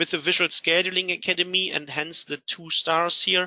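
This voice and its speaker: A man's high, bright, sharp voice with a Rhineland accent, monotone and flat at a moderate pace, dry and close with no echo. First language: German. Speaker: software company CEO. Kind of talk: webinar presentation. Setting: online webinar.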